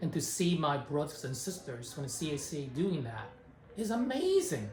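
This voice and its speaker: Against noticeable background noise and audible room echo, a man with a fairly high pitch speaks at a moderate pace with lively intonation. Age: 60s. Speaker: community organization executive. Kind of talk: interview. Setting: organization headquarters in San Francisco.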